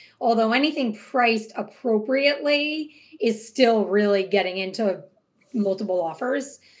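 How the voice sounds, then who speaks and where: This woman has a normal speaking voice with an American accent, a fairly high pitch, ordinary pitch variation and a moderate pace. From Hudson Valley, New York. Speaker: real estate agent and team leader. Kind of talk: casual interview chat.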